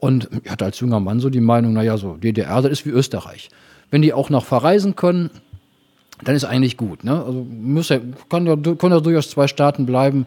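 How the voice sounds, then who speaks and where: A man with an unremarkable speaking voice, medium pitch, lively intonation and a moderate pace. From Rhineland, Germany (Engelskirchen). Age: 50s. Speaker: city treasurer and lawyer. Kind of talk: interview.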